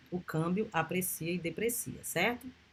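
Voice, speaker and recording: A somewhat breathy woman speaks with ordinary pitch variation. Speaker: university lecturer. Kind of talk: lecture.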